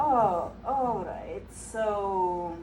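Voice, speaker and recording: There is audible echo from the room. A woman speaks with a non-native accent. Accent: foreign. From Eastern Europe. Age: 30s. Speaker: comedian. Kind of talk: stand-up.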